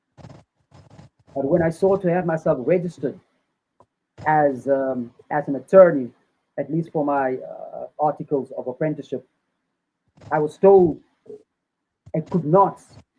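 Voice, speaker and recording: Speaking at a fairly slow pace with long, frequent pauses, a man with a South African accent uses a fairly high pitch, a dark, mellow tone and ordinary pitch variation. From South Africa, Cape Town. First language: Afrikaans. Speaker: Rastafari activist and lawyer. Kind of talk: interview testimony.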